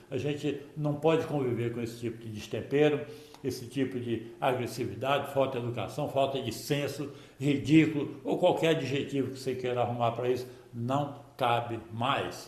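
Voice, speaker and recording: A man talks at a moderate pace in a medium pitch with fairly even intonation. Room echo and background noise are both noticeable. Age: 70s. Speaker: football commentator youtuber. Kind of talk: opinion monologue to camera.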